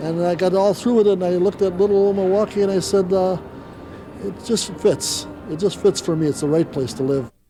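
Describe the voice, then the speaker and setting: Over noticeable background noise, a man talks at a fairly quick pace in a high voice with ordinary pitch variation. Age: 60s. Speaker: resident in street interview. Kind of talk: interview.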